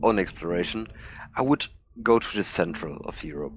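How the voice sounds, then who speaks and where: With noticeable background noise behind him, a man speaks in a German accent. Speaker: fellow gamer. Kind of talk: casual chat. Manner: halting, searching for words.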